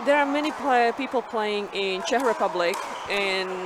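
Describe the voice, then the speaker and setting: A woman talks at a moderate pace, with audible room echo and noticeable background noise in the recording. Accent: Slovak. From Slovakia. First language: Slovak. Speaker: pickleball player. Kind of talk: casual interview during live commentary.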